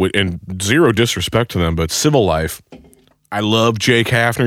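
This man has a plain, everyday voice, pitched fairly low, with ordinary pitch variation. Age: 30s. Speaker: podcast host. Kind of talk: casual chat. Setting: studio.

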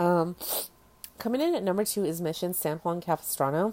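In an American accent, a woman speaks with a dark, mellow tone, fairly low pitch and ordinary pitch variation. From US West Coast, Orange County, California. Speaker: podcast host. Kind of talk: casual solo podcast monologue. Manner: casual, filler-heavy with ums and likes.

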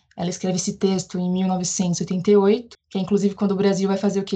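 At a moderate pace, a woman speaks at a medium pitch with a dark, mellow tone that is somewhat breathy. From Brazil, Bahia (Northeast). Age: 30s. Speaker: geographer and teacher. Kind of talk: interview.

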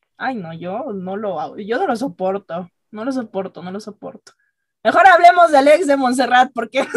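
A woman's fairly high voice swings very widely in pitch and greatly in loudness. She goes at a moderate pace, and the sound is dry and close with no echo. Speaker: podcast co-host. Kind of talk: casual chat.

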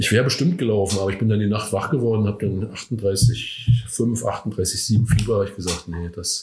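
A man delivers his words at a medium speed, his intonation mostly level. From Rügen, northern Germany. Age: 60s. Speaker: veteran amateur runner. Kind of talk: interview. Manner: hesitant, many fillers.

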